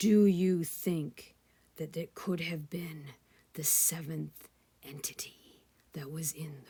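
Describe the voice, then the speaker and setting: A woman puts on a character voice, fairly low and shaky. She speaks at a fairly slow pace. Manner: fearful, trembling.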